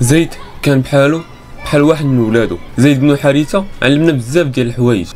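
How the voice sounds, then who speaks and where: Music plays in the background as a man speaks at a fairly quick pace. He has a Moroccan accent. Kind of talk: storytelling narration of religious history.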